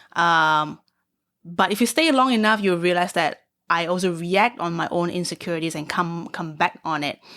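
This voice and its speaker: In a very clean recording with a silent background, a woman speaks at a moderate pace in a bright, sharp tone, her fairly low pitch showing ordinary variation. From Singapore. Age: 30s. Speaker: stand-up comedian. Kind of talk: casual chat.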